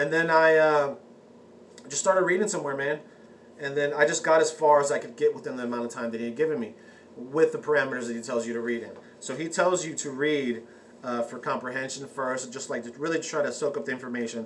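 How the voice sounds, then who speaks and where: Amid noticeable background noise, a man with a fairly high pitch speaks at a very fast pace with ordinary pitch variation. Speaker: occult vlogger. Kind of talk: casual vlog talk. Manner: halting, many fillers and restarts.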